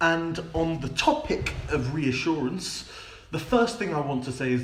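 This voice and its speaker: A man with a British accent and audible room echo. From United Kingdom. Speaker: language teacher, YouTuber. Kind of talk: educational talk to camera. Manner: some hesitations (um, repeated words).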